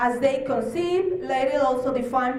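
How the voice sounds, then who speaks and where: The voice has lively intonation, with audible room echo and noticeable background noise. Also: woman. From Mexico, Baja California. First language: Spanish. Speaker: human rights official. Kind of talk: conference presentation. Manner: halting.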